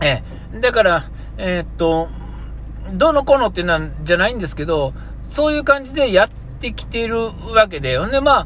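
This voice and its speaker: A man speaks at a moderate speed while background noise is noticeable. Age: 40s. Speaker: podcast host. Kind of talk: solo podcast monologue. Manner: halting, many fillers.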